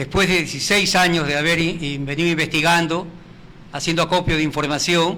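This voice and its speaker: At a moderate pace, a man speaks with a monotone, flat intonation. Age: 70s. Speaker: retired heritage campaigner. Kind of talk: TV interview.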